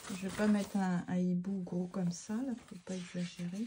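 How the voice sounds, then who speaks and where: A woman speaks at a fairly slow pace in a medium pitch. Noticeable background noise runs behind her. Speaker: art therapy craft youtuber. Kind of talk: casual craft tutorial chat. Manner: hesitant, many fillers; no longer pushing voice, quieter than before.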